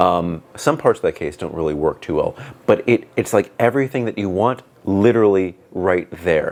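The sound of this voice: A man's booming, low voice carries a slightly mellow tone, lively intonation and a moderate pace.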